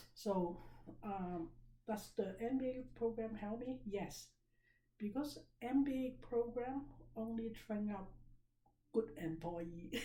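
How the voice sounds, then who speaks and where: A woman speaks very slowly with long, frequent pauses, her somewhat breathy, fairly high voice dark and mellow in tone, with ordinary pitch variation and audible room echo. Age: 60s. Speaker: business seminar teacher. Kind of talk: seminar lecture. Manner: conversational, interactive.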